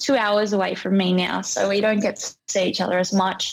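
With an Australian accent, a woman speaks at a medium pitch and a moderate pace. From rural Australia. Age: 20s. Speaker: DJ and music producer. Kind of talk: casual chat. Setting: podcast recording.

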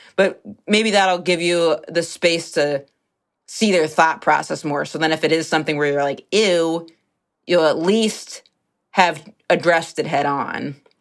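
A woman with a plain, everyday voice speaks at a fairly slow pace in a fairly low pitch with fairly even intonation, on a very clean recording with a silent background. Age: 30s. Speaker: comedian. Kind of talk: casual advice chat.

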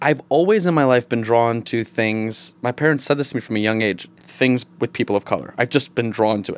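The speaker has an American accent and talks at a fairly quick pace with hardly any pauses. Pitch varies an ordinary amount. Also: man, medium pitch for a man. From upstate New York. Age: 30s. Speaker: actor. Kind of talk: casual chat. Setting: studio. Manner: animated.

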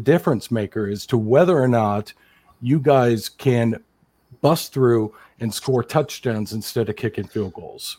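With an American accent, a man speaks in a dark, mellow tone at a medium pitch with ordinary pitch variation. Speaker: sports fan guest. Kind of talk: casual chat.

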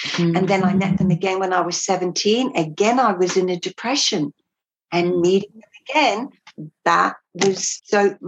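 Spoken at a moderate pace with an Australian accent, the voice has ordinary pitch variation. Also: woman, medium pitch for a woman. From England, moved to Australia as a child. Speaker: former cult member. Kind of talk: interview testimony.

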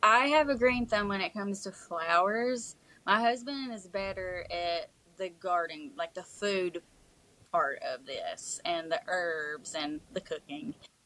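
In an Appalachian accent, the speaker talks at a fairly slow pace with lively intonation and a bright, sharp tone. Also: woman, medium pitch for a woman. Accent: Appalachian Southern US. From Eastern Kentucky (Prestonsburg area). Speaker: country singer-songwriter. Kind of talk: casual interview chat.

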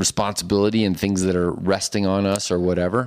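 Fairly low-pitched male voice, a plain, everyday voice, moving along at a moderate pace. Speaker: medical doctor. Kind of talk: casual chat.

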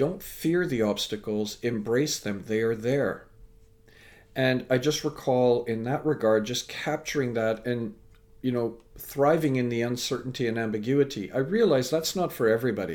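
A man's unremarkable speaking voice with a Canadian accent, medium pitch and ordinary pitch variation. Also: moderate pace. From Canada. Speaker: speaker and educator. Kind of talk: interview.

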